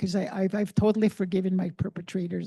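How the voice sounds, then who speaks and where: A woman speaks very fast at a medium pitch, her intonation fairly even. Her voice is somewhat breathy against a quiet background. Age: 70s. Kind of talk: public forum address. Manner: halting, frequent repetitions.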